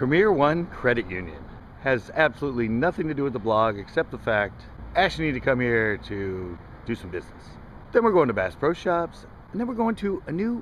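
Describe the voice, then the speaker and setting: Over light background noise, in a dry sound with no echo, a man talks at a fairly quick pace with very wide pitch swings. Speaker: fishing vlogger. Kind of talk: casual vlog chat. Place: street. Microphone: phone near.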